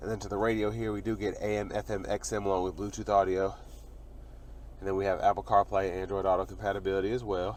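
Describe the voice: Speaking at a fast pace, a man with a low pitch and slightly mellow tone shows little pitch movement.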